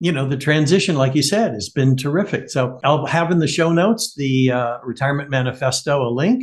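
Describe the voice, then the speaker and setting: This man talks fairly quickly with hardly any pauses, his voice somewhat breathy and fairly high in pitch. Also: ordinary pitch variation. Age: 70s. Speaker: podcast host. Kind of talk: podcast interview.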